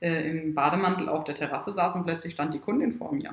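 Amid noticeable background noise and audible room echo, a woman talks at a fairly quick pace. Her pitch is fairly low and her intonation fairly even. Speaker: wedding photographer and entrepreneur. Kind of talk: casual interview. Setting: at her home. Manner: loud at times.

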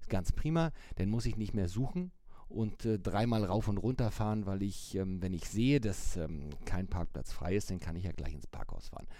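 A man's dark, mellow tone sits at a fairly low pitch, with lively intonation at a moderate pace. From Hamburg, northern Germany. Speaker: newspaper editor, mobility expert. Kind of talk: interview.

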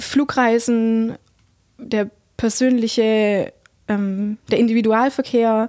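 The speech comes at a very slow pace in a monotone, flat intonation, with a dry, close sound and no echo. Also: woman, very clean recording, silent background. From Heidenheim, Swabia, southern Germany. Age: 20s. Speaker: climate activist. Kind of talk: interview.

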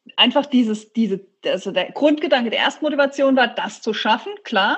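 Ordinary pitch variation marks a woman's fairly quick speech. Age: 40s. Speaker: ultramarathon runner. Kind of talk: interview. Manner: casual.

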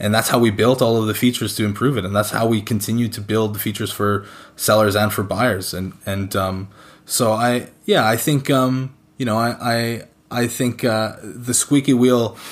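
A man with a Canadian accent speaks in an ordinary speaking voice at medium pitch, with fairly even intonation and a moderate pace, on a very clean recording with a silent background. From rural Canada. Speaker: sneaker resale company director. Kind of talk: interview.

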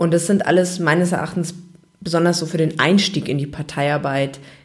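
A woman speaks at a moderate pace in a normal speaking voice. Her pitch is fairly low and varies in an ordinary way. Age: 20s. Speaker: podcast host. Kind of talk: solo podcast monologue.

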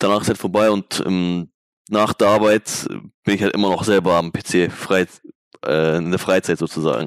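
There is no echo in this dry, close, very clean recording with a silent background, where a man's pitch moves in an ordinary way. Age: 20s. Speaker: esports player. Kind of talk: casual interview.

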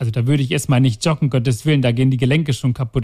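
A somewhat breathy man's voice with fairly even intonation. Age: 40s. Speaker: heart surgeon. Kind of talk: casual interview. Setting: recording in the city with helicopters and sirens outside.

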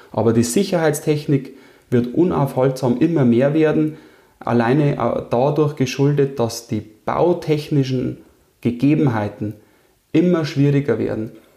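A man with a medium pitch and ordinary pitch variation speaks in a dark, mellow tone with vocal fry, leaving long, frequent pauses. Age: 30s. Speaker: engineering firm owner. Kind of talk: interview.

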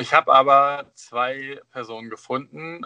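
The man's voice is bright and sharp, recorded dry and close with no echo. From northern Germany, Osnabrück area. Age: 30s. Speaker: drag performer and childminder, former deacon. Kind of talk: casual interview.

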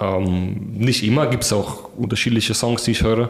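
Over noticeable background noise and audible room echo, a man speaks at a medium pitch and moderate pace with fairly even intonation. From Kazakhstan, in Germany since 2006 (from about age 11). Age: 20s. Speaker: pole vaulter. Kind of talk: interview. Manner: hesitant with many fillers.

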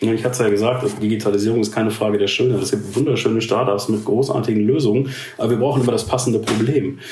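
A man rushes along at a very fast pace while noticeable background noise and audible room echo surround him. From Ruhr area, Germany. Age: 40s. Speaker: head of digital transformation at a steel company. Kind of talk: interview.

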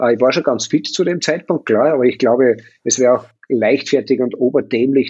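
A man speaks at a fairly quick pace in an unremarkable speaking voice, with medium pitch and ordinary pitch variation. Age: 50s. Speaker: hotelier and triathlon team manager. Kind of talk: casual interview.

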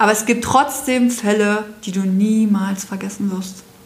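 Noticeable background noise and audible room echo accompany a woman whose fairly high voice stays flat and monotone. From Brandenburg, eastern Germany. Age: 40s. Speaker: children's home founder. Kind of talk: interview.

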